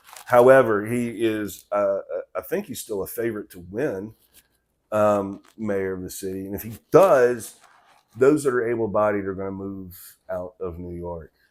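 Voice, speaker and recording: In a Southern accent, a man with a fairly low pitch talks at a fairly slow pace, using ordinary pitch variation and big swings in loudness. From US South, Memphis and Mississippi. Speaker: political commentator. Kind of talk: casual commentary monologue. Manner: halting, many fillers.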